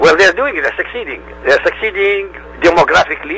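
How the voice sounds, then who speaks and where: The speaker has an Arabic accent. Background noise is noticeable throughout. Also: man. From Middle East. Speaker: independent religion researcher. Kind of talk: interview.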